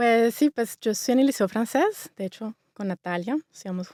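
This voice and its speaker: A woman with a Bogotá accent speaks with ordinary pitch variation in a very clean recording, dry and close with no echo against a silent background. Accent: Bogotá (rolo). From Colombia, Bogotá. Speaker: interior designer. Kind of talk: interview. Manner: fast.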